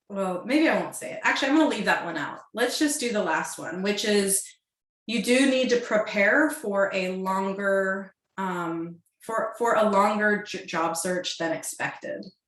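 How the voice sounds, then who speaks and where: Lively intonation carries the speech at a fairly slow pace, with audible room echo. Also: woman, medium pitch for a woman. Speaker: career coach. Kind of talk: webinar presentation. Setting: video call. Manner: hesitant with fillers.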